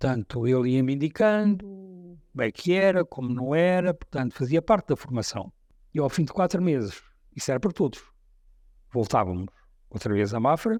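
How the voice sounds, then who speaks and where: Recorded very cleanly against a silent background with a dry, close sound and no echo, a man with a fairly high pitch and a dark, mellow tone talks at a moderate pace, making very wide pitch swings and long, frequent pauses. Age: 70s. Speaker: war veteran. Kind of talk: testimony.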